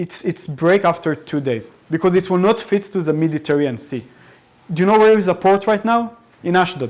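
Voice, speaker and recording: In an Arabic accent, a high-pitched man talks at a fairly quick pace with lively intonation. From Israel. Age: 20s. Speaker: soldier speaking about war experience. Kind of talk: public talk to audience. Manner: halting with many repetitions.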